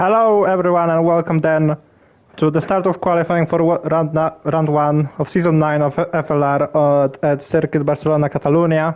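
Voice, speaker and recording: A man with a non-native accent and a fairly high pitch speaks at a moderate pace, his intonation flat and monotone and his loudness very even. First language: not English. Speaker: sim racing league commentator. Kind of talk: live commentary. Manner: halting, repeats words; casual, relaxed.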